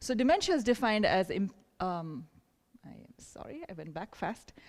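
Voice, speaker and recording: Recorded very cleanly against a silent background, a woman's voice comes through. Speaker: neurologist. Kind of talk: lecture. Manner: fast.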